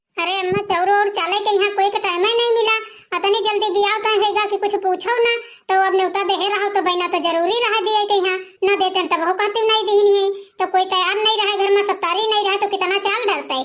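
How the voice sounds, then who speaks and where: In a cartoonish character voice, a woman speaks at an extremely high pitch with monotone, flat intonation at a fairly quick pace. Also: very even loudness. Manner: defensive, pleading.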